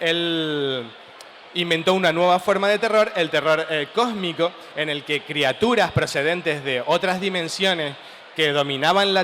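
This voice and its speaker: In a Canarian accent, a man with a high voice talks at a fairly slow pace with ordinary pitch variation amid noticeable background noise. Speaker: writer. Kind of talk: talk at a comic festival panel.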